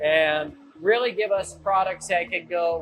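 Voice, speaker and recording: A loud man with a high pitch speaks over noticeable background noise. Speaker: lighting company owner. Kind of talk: factory tour explanation. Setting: factory machine room.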